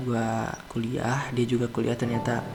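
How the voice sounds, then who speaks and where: A man speaks in a relaxed tone. Music plays in the background. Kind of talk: asmr bedtime story, storytelling to the listener. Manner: soft, relaxed, slow.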